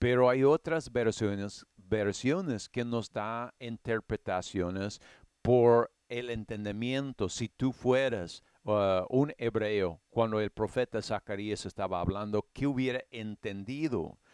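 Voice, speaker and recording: Speaking at a very slow pace with an English accent, a man uses a medium pitch and ordinary pitch variation, recorded very cleanly against a silent background with a dry, close sound and no echo. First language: English (speaking Spanish). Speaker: Bible teacher. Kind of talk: Bible study lecture. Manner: halting, with fillers and restarts.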